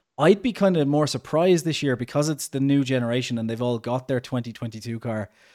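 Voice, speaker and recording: A man in an Irish accent, fairly quick in pace and with hardly any pauses. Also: medium pitch for a man, ordinary pitch variation. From Ireland. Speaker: podcast host. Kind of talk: casual podcast chat. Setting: video call, host abroad in Mexico.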